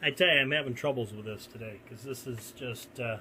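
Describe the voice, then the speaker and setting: Moderate pace, ordinary pitch variation and medium pitch from a man with a normal speaking voice. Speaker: gun reviewer. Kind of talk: product comparison video. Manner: casual, conversational.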